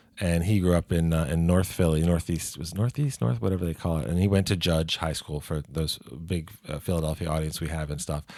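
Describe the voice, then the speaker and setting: In a very clean recording with a silent background, a man with a slight Baltimore accent speaks at a fairly quick pace in a very deep, low voice with a dark, mellow tone, ordinary pitch variation and hardly any pauses. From Baltimore, Maryland. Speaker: podcast co-host. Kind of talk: casual chat.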